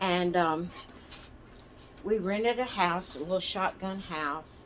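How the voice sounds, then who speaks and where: Speaking very slowly in a Southern US accent with ordinary pitch variation, the voice comes through noticeable background noise. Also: woman, medium pitch for a woman. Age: 60s. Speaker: doll and craft channel host. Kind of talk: casual storytelling. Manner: meandering, hesitant.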